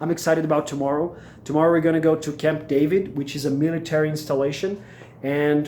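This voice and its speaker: In a Brazilian Portuguese accent, a man talks at a fairly quick pace with a fairly high pitch and monotone, flat intonation. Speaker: MBA student vlogger. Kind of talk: casual vlog. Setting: at home. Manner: hesitant, many fillers.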